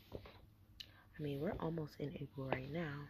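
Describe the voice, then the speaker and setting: Whispering and soft-spoken with vocal fry, a woman talks over noticeable background noise. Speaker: vlogger. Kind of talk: casual talk to camera. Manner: whispered, soft. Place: home room. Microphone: webcam.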